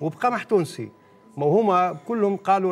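Moderately paced male speech, its pitch varying in an ordinary way. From Tunisia. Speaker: farmer; guest. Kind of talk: studio interview. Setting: studio. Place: studio. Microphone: lapel.

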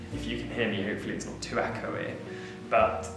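A moderate pace with audible room echo and clear music in the background. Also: man. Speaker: home tour vlogger. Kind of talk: casual vlog chat. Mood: cheerful, laughing. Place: home room.

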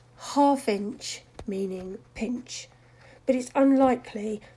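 This woman's tone is dark and mellow, and her voice is somewhat breathy. Her pitch varies in an ordinary way. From South London. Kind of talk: language lesson to camera.

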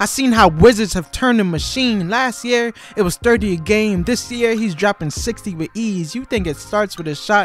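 Moderate pace, hardly any pauses, and music in the background. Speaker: spoken word poet. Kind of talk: spoken word poetry over sports highlights.

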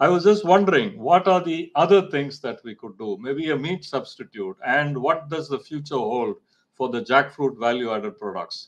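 At a moderate pace with hardly any pauses, the voice makes very wide pitch swings and big swings in loudness over a quiet background. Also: man, fairly high pitch for a man. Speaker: marketing professor. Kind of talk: webinar lecture. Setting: video call. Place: home room. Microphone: video call.

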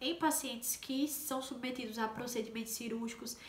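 At a moderate pace, a woman speaks with a fairly high pitch and fairly even intonation. Audible room echo surrounds her voice. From Brazilian Northeast, Paraíba. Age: 20s. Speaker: nursing technician and vlogger; nursing technician youtuber. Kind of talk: explanatory vlog talk; tutorial. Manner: casual, many fillers. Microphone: phone near.

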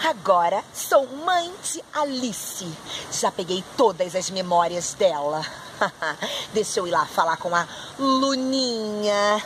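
Noticeable background noise behind a woman's very slow speech, full of long, frequent pauses. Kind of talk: acted dialogue for a kids' video.

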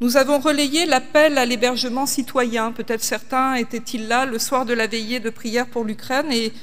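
Her intonation fairly even, a woman speaks at a high pitch. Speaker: pastor. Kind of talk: sermon. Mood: serious, measured. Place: church. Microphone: podium.

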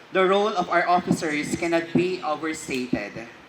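Background noise is clearly heard. Speech moves at an average speed. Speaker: official speaking at ceremony. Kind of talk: formal speech. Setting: oath-taking ceremony at city hall. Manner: formal.

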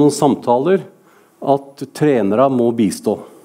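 A man is speaking. The background is quiet. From Norway. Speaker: referee official. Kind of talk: lecture. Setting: stage with audience. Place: hall. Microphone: podium.

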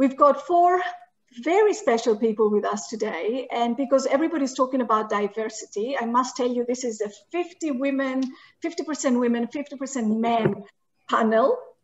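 A woman's high-pitched voice with lively intonation at a moderate pace. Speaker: session moderator. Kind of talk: moderating an online info session. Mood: friendly, welcoming. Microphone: video call.

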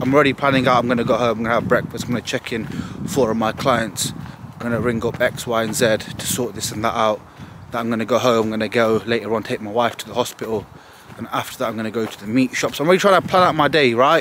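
Noticeable background noise sits behind a man talking very fast at a medium pitch with ordinary pitch variation. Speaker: bodybuilder vlogger. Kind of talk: casual vlog monologue. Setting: outdoors on morning walk. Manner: casual, profane, energetic.

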